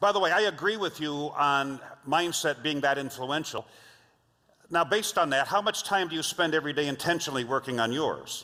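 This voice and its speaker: The voice has a bright, sharp tone and an American accent. It moves at a fairly quick pace with ordinary pitch variation. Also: man, fairly high pitch for a man. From Los Angeles, US. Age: 60s. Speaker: leadership trainer and speaker. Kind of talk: keynote talk.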